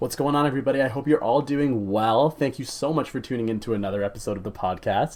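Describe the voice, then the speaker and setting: There is a man talking with a Canadian accent. His pitch varies in an ordinary way. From Canada. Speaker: podcast host. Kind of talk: podcast interview.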